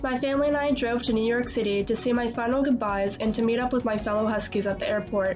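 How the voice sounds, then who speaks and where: Music plays in the background as a woman speaks. She talks at a very fast pace in an American accent. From Northern Virginia, USA. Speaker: college student. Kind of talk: personal documentary narration.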